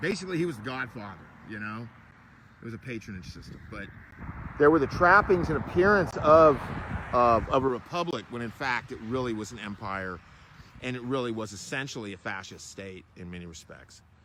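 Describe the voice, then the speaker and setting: A man with an American accent, medium in pitch, at a fairly quick pace, with lively intonation, big swings in loudness and noticeable background noise. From Florida, US South. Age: 50s. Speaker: travel vlogger. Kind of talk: casual monologue to camera. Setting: outdoors at a battlefield park. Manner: halting, with many fillers.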